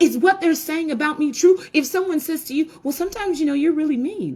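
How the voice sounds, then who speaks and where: Loud and animated, a woman speaks at a high pitch. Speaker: women's talk show host. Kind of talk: motivational talk to viewers. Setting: indoors by window, video recording.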